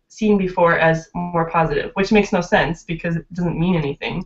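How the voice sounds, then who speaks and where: The background is quiet as a woman talks at a moderate pace. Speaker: remote guest. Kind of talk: interview answer. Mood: friendly, laughing at times. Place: home room. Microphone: webcam.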